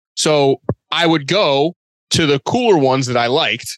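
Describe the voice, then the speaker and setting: Recorded dry and close with no echo, a man with an American accent speaks at medium pitch. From Boston. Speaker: sneaker and apparel designer. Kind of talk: casual chat.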